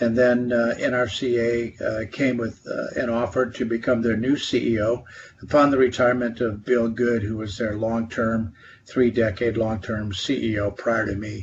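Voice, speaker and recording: A man of medium pitch speaks in a flat monotone at a moderate pace. His voice is somewhat breathy, with an American accent. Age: 60s. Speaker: trade association executive, former congressman. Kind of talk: podcast interview. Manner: hesitant, many fillers.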